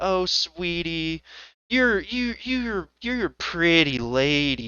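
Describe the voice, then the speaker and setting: A man uses a put-on character voice with a Southern accent, pitched high. He speaks at a very slow pace. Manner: sweet, condescending.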